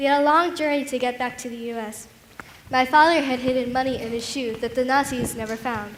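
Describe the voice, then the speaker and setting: At a high pitch, a woman talks at a fairly quick pace with fairly even intonation, amid noticeable background noise and audible room echo. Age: 80s. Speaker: Holocaust survivor. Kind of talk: staged testimony performance.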